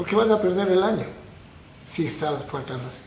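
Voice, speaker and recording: A man talks at a fairly quick pace in a high pitch. The room echo is audible and the background noise is noticeable. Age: 70s. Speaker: painter and art teacher. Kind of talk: interview.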